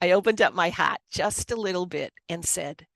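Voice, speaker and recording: A woman with an American accent at a fairly slow pace, in a dry, close sound with no echo on a very clean recording with a silent background. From Boston area, US. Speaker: author and Reiki master. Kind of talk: personal testimony in interview.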